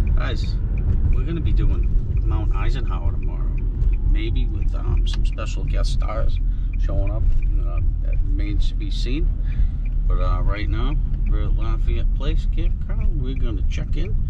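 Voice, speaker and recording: Over music in the background, a man speaks at a fairly slow pace with long, frequent pauses, and the sound is dry with no echo. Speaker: camping vlogger. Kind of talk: casual vlog chat. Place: car.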